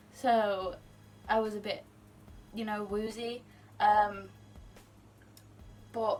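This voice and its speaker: A woman with a British accent speaks quietly at a very slow pace, her pitch fairly high. Her intonation is monotone and flat, with long, frequent pauses. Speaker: singer. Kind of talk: casual talk to camera.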